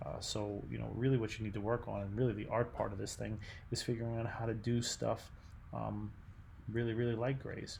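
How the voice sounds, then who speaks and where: A man speaks at a fairly quick pace, with audible room echo. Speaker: art teacher. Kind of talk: recorded class instructions. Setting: at home at night. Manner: soft-spoken; hesitant, many fillers.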